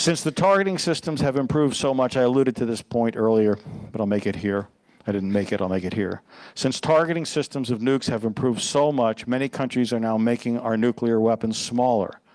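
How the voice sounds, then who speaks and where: A man with a normal speaking voice, medium pitch, ordinary pitch variation and a fairly quick pace, against a quiet background. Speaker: pastor. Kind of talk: sermon.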